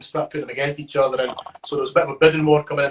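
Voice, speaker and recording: Very fast, a man with a Scottish accent talks at a fairly high pitch. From Scotland. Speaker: rapper. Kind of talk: interview answer. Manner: casual, chatty.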